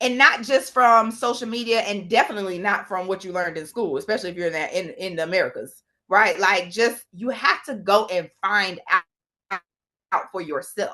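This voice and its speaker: A woman talks in a Southern US accent at a moderate pace. Her tone is bright, sharp and animated, with ordinary pitch variation. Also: medium pitch for a woman. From US South. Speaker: travel company founder. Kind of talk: podcast interview.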